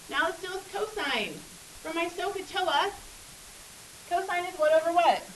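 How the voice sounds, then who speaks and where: A woman with an extremely high pitch speaks with fairly even intonation and long, frequent pauses, her voice carrying audible room echo. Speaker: math teacher. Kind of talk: classroom lecture. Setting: classroom. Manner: fast.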